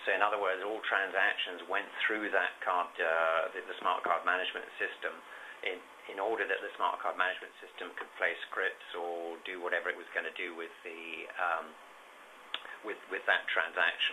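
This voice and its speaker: Here is a man with a British accent. He speaks at a moderate pace. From UK. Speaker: payments consultant. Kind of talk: webinar presentation. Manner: hesitant, many fillers.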